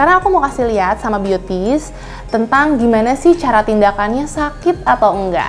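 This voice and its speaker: A fairly high-pitched woman at a fairly quick pace with very wide pitch swings, music playing in the background. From Indonesia, Bandung. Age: 20s. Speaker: doctor and beauty vlogger. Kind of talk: skincare tutorial vlog.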